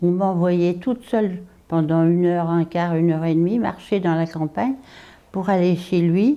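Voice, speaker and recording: This woman's voice has a dark, mellow tone. Her loudness stays very even at a moderate pace. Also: fairly low pitch for a woman, ordinary pitch variation. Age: 90s. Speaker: retirement home resident. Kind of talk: personal storytelling interview. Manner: conversational with hesitations.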